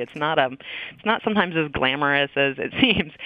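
Speaking with an American accent, a woman uses a very deep, low pitch and lively intonation. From Maine, US. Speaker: professor and author. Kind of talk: interview.

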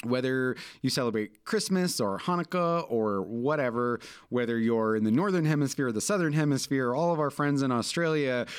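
On a very clean recording against a silent background, there is an unremarkable speaking voice. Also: man. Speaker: podcast co-host. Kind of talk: casual chat.

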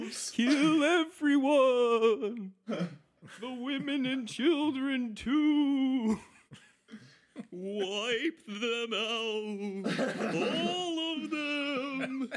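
A put-on character voice draws out high-pitched words at a very slow pace. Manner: brutal, commanding.

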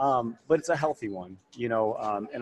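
A man talks at a moderate pace with music playing behind him. The sound is dry and close, with no echo. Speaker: fitness trainer in recovery. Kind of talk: casual interview. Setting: conference, recorded at a symposium.

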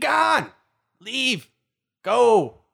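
This is a put-on character voice with a raspy edge. Its pitch sits fairly high. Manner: screeching; commanding, shouting someone away.

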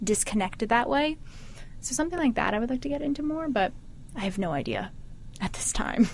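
Over noticeable background noise, a high-voiced woman talks at a fairly quick pace with very wide pitch swings and long, frequent pauses. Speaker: hardware performance modeler. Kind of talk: casual chat. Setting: office. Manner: animated.

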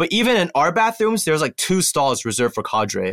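A man with an American accent speaks with vocal fry and very wide pitch swings, recorded very cleanly against a silent background with a dry, close sound and no echo. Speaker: alternative military service member. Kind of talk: casual chat. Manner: many filler words.

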